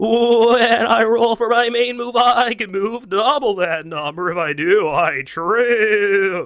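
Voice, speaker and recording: A man performs a cartoonish character voice. It is high-pitched and runs on with hardly any pauses. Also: fairly slow pace. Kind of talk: cartoon voice acting. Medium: solo performance. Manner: exaggerated, improvised.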